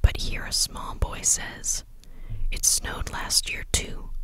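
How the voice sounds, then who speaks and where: Someone whispers throughout. Background noise is noticeable behind the words. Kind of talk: bedtime story reading, ASMR. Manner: soft-spoken, relaxing.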